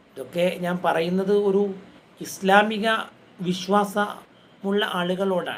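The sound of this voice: Audible room echo follows a man as he speaks slowly in a high voice with ordinary pitch variation.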